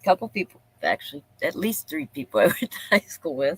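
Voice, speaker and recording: The woman's fairly low voice has a dry, close sound with no echo. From Pennsylvania. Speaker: live streamer. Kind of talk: casual live stream chat. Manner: rambling, thinking out loud.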